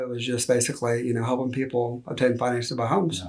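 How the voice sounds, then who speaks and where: Over noticeable background noise, a man with a Texas accent talks at a very fast pace and medium pitch. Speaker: loan officer. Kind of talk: interview.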